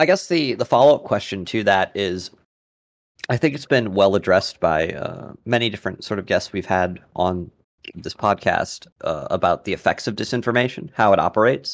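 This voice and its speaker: In a very clean recording with a silent background, a man talks at a moderate pace and medium pitch. He has a plain, everyday voice with lively intonation. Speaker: podcast co-host. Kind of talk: casual chat.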